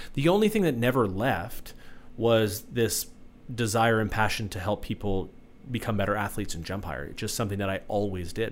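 A man with a plain, everyday voice, fairly low in pitch, at a fairly quick pace with ordinary pitch variation. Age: 30s. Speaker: vertical jump coach. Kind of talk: casual chat. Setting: studio.

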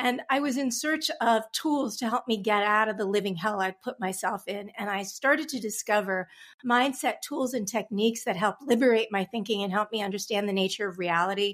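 Using an unremarkable speaking voice, a woman with an American accent talks at a fairly quick pace in a fairly high pitch with ordinary pitch variation. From Long Island, New York. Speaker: business coach. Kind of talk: interview.

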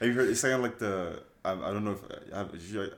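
A man with a slight French accent, talking at a very fast pace in fairly even intonation. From France. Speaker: trainee pilot. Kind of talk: casual chat.

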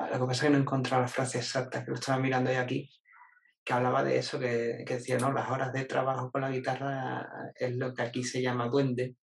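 A man at medium pitch with an Andalusian accent, monotone and flat, at a very fast pace. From Jerez, Andalusia, Spain. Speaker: marketing employee and stand-up comedian. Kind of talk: casual interview conversation.

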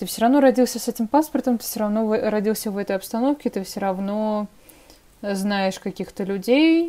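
Her dark, mellow tone carries as a woman speaks at a moderate pace with ordinary pitch variation. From Russia. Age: 20s. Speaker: podcast co-host. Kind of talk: casual chat.

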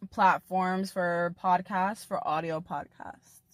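On a very clean recording with a silent background, a woman uses a plain, everyday voice at a medium pitch, speaking fairly slowly with fairly even intonation and a dry, close sound with no echo. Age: 20s. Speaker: podcast host and portrait photographer. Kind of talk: solo casual monologue. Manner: chatty.

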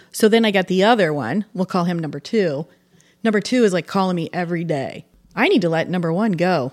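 At a fairly quick pace, a woman with a fairly low pitch and an unremarkable speaking voice talks with ordinary pitch variation on a very clean recording with a silent background. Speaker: divorced woman dating online. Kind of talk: casual chat.

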